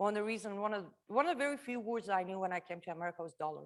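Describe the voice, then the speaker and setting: Here a woman speaks with an Iranian accent. Her tone is animated and her pitch medium. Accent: Iranian (Persian) accent in English. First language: Farsi. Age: 30s. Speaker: refugee speaker sharing life story. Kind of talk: testimony talk to a live audience. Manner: conversational, animated.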